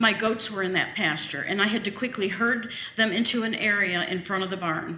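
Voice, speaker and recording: A woman speaks at medium pitch and a fairly quick pace, with ordinary pitch variation. Audible room echo and noticeable background noise surround her. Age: 60s. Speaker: citizen speaking at public meeting. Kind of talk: public comment at a county meeting. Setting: meeting room with PA microphone. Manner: fast.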